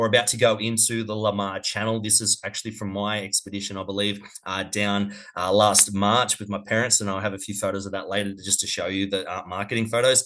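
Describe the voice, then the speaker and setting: Speaking fairly quickly in an Australian accent, a man has a fairly low pitch, a bright, sharp tone and flat, monotone intonation. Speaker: cruise company representative. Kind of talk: webinar presentation. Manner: fast.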